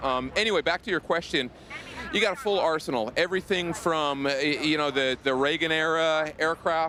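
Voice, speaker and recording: A man with a fairly high pitch talks at a fairly quick pace with ordinary pitch variation and very even loudness over noticeable background noise. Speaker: game developer representative. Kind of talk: interview. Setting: live show at gaming expo. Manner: halting. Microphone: mic too quiet, replaced.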